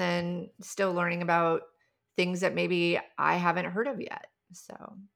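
A woman speaks with an American accent at a moderate pace, her fairly low voice carrying vocal fry. The recording is very clean with a silent background. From US Midwest. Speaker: life coach and healer. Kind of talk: casual chat. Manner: engaging, passionate.

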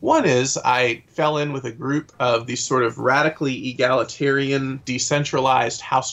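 An ordinary speaking voice from a man with an American accent and fairly even intonation. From US South, Atlanta area. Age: 30s. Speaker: author and festival organizer. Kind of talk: casual interview.

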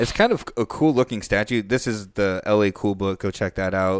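The recording is very clean, with a silent background. A man speaks at a fairly low pitch in an unremarkable speaking voice. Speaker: podcast host. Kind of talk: casual banter, comedic podcast.

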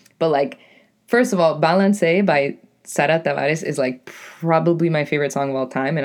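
Quiet background behind a woman talking at a fairly quick pace. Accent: New England. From New England. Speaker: podcaster and poet. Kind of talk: casual monologue. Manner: animated.

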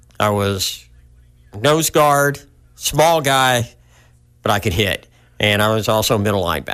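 A man with an American accent talks at a fairly slow pace in a medium-pitched, bright, sharp tone, his loudness very even and his long pauses frequent, on a very clean recording with a silent background. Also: lively intonation. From US South (Arkansas/Oklahoma). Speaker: motivational speaker and mountaineer. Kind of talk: interview testimony.

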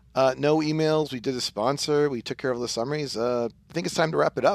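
Noticeable background noise sits behind a man speaking at a moderate pace with a fairly high pitch. His pitch varies in an ordinary way, and the sound is dry and close with no echo. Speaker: podcast host.

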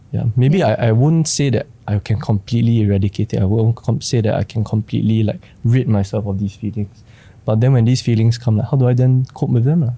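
Speaking at a very fast pace with a Singaporean accent, a man with a medium-pitched, dark, mellow, somewhat breathy voice keeps his loudness very even. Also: ordinary pitch variation. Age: 20s. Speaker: creative industry worker. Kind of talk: casual chat.

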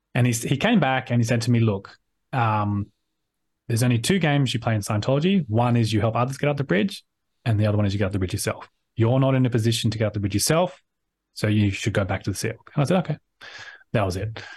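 A man with an Australian accent talks very fast at a medium pitch, with ordinary pitch variation and a somewhat breathy sound. He leaves long, frequent pauses, and the background is quiet. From Sydney, Australia. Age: 30s. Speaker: ex-Scientologist academic. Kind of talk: casual interview.

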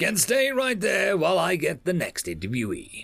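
Over faint music, a man puts on a character voice, high in pitch with vocal fry, a fairly bright tone, very wide pitch swings, and a moderate pace.

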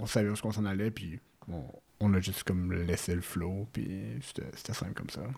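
Fairly low in pitch, a man's dark, mellow voice moves at a moderate pace with ordinary pitch variation. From Quebec City. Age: 20s. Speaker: lab analyst, traveller. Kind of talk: storytelling interview.

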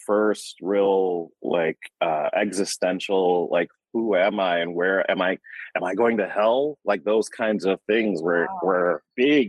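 A man with an American accent, fairly low in pitch, at a very slow pace with ordinary pitch variation. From Michigan, US. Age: middle-aged. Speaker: healer and yoga therapist. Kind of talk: interview.

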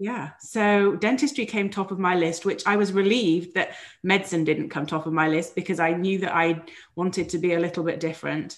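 With a British accent, a woman speaks at a fairly quick pace, her medium pitch showing ordinary variation. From England. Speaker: dentist turned physician coach. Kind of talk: interview.

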